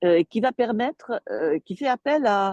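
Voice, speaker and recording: The delivery is very slow, with lively intonation and a dark, mellow tone. The sound is dry and close, with no echo. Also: woman. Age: 70s. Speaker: coach and trainer. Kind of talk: interview. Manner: hesitant, many fillers.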